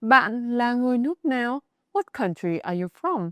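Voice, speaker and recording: In a Northern Vietnamese accent, a woman speaks at a fairly slow pace with very wide pitch swings. The recording is very clean with a silent background, and the sound is dry and close, with no echo. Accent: Northern Vietnamese (Hanoi) accent in English. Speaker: Vietnamese language teacher. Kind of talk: language lesson narration.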